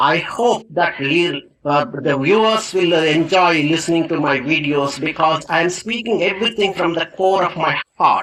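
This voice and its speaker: A man's high-pitched voice with an Indian accent and ordinary pitch variation. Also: moderate pace, hardly any pauses. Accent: non-native Indian English. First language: Indian language. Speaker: English teacher. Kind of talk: motivational talk. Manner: earnest, with fillers and self-corrections.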